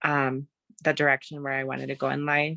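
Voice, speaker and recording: A woman's very deep, low-pitched voice with a bright, sharp tone and an American accent, in a dry, close sound with no echo. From US Midwest, Wisconsin. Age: 20s. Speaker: panelist. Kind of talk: panel discussion.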